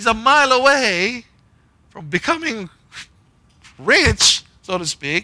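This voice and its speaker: A man's raised, projected voice, high in pitch with a bright, sharp tone, at a very slow pace with long, frequent pauses, very wide pitch swings and big swings in loudness. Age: 40s. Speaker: pastor. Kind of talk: sermon.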